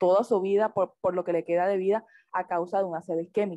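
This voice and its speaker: A woman's medium-pitched voice, dark and mellow in tone, at a fairly quick pace, with a dry, close sound and no echo. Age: 20s. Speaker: medical student presenter. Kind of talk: lecture.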